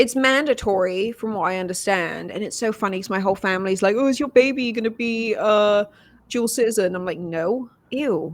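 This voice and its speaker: A woman talks at a fairly quick pace with a fairly high pitch and ordinary pitch variation, on a very clean recording with a silent background. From Wales. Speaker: writer and TV journalist. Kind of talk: casual chat. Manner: animated.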